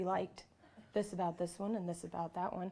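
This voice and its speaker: At a moderate pace, a woman speaks at medium pitch with a dark, mellow tone on a very clean recording with a silent background. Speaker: conference presenter. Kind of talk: workshop lecture. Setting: conference classroom. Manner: loud.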